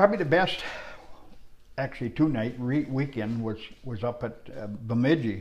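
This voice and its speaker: In an American accent, the somewhat breathy speaker moves at a moderate pace with lively intonation, big swings in loudness and long, frequent pauses. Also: man, medium pitch for a man. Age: 70s. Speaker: retired stock car racer. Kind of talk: casual interview. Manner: halting, many fillers.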